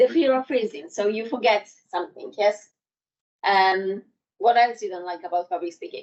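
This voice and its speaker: With a non-native accent, a woman speaks at a moderate pace and medium pitch with ordinary pitch variation, big swings in loudness, and long, frequent pauses. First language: not English. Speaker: public speaking trainer. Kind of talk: workshop presentation. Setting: in-person workshop with live audience. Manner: halting.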